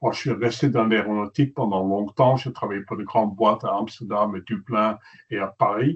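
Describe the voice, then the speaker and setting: This man's pitch is fairly low. He speaks at a moderate pace with fairly even intonation. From Netherlands. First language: Dutch (speaking French). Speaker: journalist and photographer. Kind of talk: webinar presentation. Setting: webinar.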